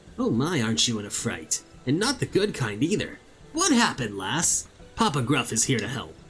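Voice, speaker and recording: Putting on a character voice, a man speaks at a medium pitch and a moderate pace. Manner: creepy, comforting.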